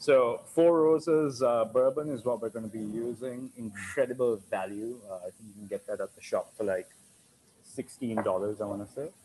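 His tone is dark and mellow, with ordinary pitch movement and a moderate pace. The man's loudness swings widely over light background noise. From Sri Lanka. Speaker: bartender and restaurant owner. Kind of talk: tutorial. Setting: video call. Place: bar.

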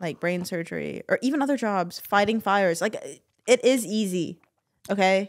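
A woman speaks at a fairly quick pace and a medium pitch, with ordinary pitch variation over a quiet background. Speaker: podcast host. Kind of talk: casual chat. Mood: assertive, teasing. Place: studio. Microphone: studio mic.

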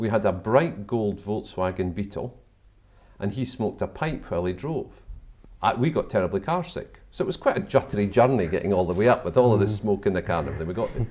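Lively in intonation, a man with a fairly low pitch speaks at a fairly quick pace. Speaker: interviewee. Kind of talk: interview answer. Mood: animated, nostalgic. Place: home room. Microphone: lapel.

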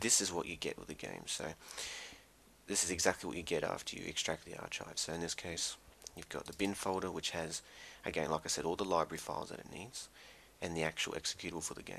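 Soft-spoken yet bright and sharp in tone, a man with a very deep, low pitch talks at a very fast pace with fairly even intonation. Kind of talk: casual software tutorial narration.

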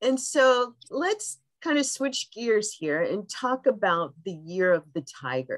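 A woman talks at a very slow pace, her pitch swinging very widely. The background is quiet. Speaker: podcast host. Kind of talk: interview conversation. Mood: warm, upbeat. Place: home room. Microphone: video call.

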